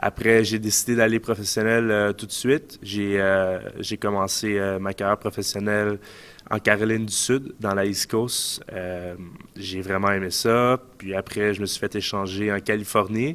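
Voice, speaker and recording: Speaking in a Quebec accent, a man uses a fairly low pitch and monotone, flat intonation. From Quebec, Montreal suburbs. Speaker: ice hockey player. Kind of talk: casual interview. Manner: hesitant, many fillers.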